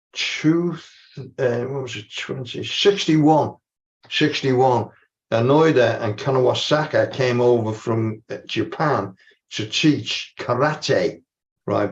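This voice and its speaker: The speaker has a strong Scouse accent and a somewhat breathy voice with ordinary pitch variation, over a quiet background. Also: man. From Liverpool, England. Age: 80s+. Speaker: martial arts and qigong practitioner. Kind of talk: panel discussion. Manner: halting.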